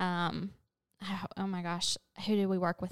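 A woman speaks at a medium pitch. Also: very clean recording, silent background. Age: 30s. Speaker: lifestyle blogger and podcast host. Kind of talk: solo podcast monologue. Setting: at home.

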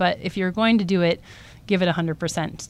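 A woman speaks fairly quickly with a Californian accent. Her pitch is fairly low, with ordinary variation. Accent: General American (Californian). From Southern California (Coronado, San Diego). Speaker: surgeon and research scientist. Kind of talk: interview. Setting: podcast studio.

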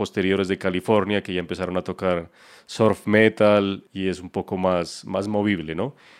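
Over a quiet background, a man with a very deep, low pitch talks at a moderate pace. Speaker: podcast co-host. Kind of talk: casual chat. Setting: online call.

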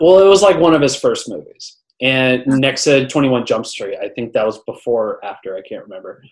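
A man talking at a fairly quick pace. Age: 20s. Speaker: podcast host. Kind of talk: casual chat. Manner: halting.

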